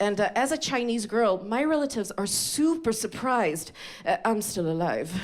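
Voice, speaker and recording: Her pitch swinging very widely, a woman talks at a moderate pace amid noticeable background noise. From Sweden. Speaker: comedian. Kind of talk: stand-up. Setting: stage with audience.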